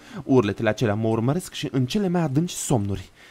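A man speaks in a dramatic tone at a fairly quick pace. His pitch swings very widely. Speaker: streamer reading horror stories. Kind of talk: live horror story narration to chat. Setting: live stream with chat. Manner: dramatic, gripping, vivid narration; casual, chatty, warm with viewers. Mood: dark, dramatic narration. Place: home room. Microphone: studio mic.

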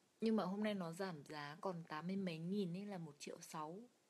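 In a Hanoi accent, a woman with a fairly low pitch speaks in a relaxed tone at a moderate pace, her intonation fairly even. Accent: northern Vietnamese (Hanoi). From northern Vietnam, Hanoi; Vietnam. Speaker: live streamer. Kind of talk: casual live stream chat. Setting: lying down during live stream. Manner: relaxed, chatty. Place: home room. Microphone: phone near.

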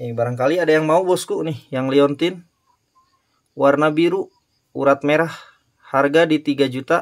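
Pausing long and often, a man with a fairly high pitch speaks at a moderate pace in an upbeat tone against a quiet background. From Indonesia. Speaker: online gemstone and ring seller; ring seller. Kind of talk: sales commentary. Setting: online live stream, showing items to camera. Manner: upbeat, salesy, urging viewers to act now. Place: shop. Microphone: phone near.

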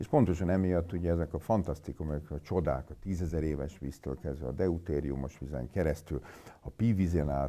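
A man talks at a moderate pace in a very deep, low voice with a dark, mellow tone. There is vocal fry, and his pitch varies in an ordinary way. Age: 50s. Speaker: physician; interviewee. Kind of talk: interview. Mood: blunt, mocking about myths. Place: meeting room.

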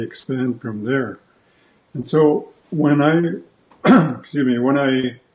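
Amid audible room echo, a man speaks very slowly with fairly even intonation. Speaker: guest. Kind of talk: interview answer. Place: workshop. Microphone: video call.

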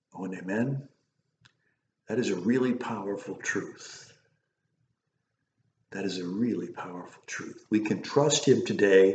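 Amid audible room echo and light background noise, a man speaks at a fairly slow pace with long, frequent pauses, a fairly low pitch and big swings in loudness. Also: ordinary pitch variation. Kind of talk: sermon / devotional message. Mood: warm, earnest. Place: home room. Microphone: webcam.

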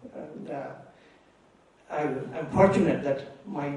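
A man with fairly even intonation is heard through light background noise and audible room echo. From India, Bengal village. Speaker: physicist; lecturer. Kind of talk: public lecture. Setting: hall with audience. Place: hall. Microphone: podium.

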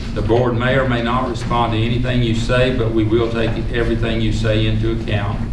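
The voice moves along at a fairly quick pace. Noticeable background noise sits behind it. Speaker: board chairman. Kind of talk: public meeting. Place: meeting room.

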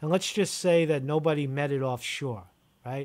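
This is a man speaking. His pace is moderate. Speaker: video host. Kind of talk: casual interview over phone. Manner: rambling, repetitive, informal. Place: home room. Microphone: studio mic.

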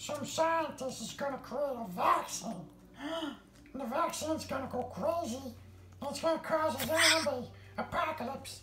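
A female-sounding voice does a put-on character voice pitched high for a woman, moving at a moderate pace over clear background noise. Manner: conspiratorial, rambling, comic.

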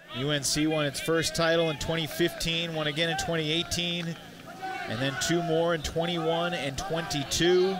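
Amid noticeable background noise, a man speaks very slowly at a high pitch with monotone, flat intonation. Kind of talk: live sports play-by-play commentary.

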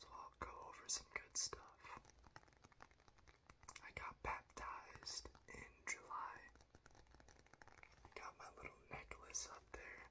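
A man whispers in a calm tone. He goes very slowly, with long, frequent pauses. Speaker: ASMR creator. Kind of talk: ASMR whisper talk to camera. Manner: whispered; calm, soft-spoken. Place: home room.

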